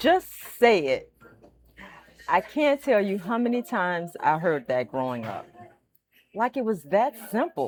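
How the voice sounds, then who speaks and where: Music plays behind a woman speaking at medium pitch and a fairly slow pace. Her pitch swings very widely, and she takes long, frequent pauses. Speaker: storyteller, stuttering awareness speaker. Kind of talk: reflective personal storytelling to camera.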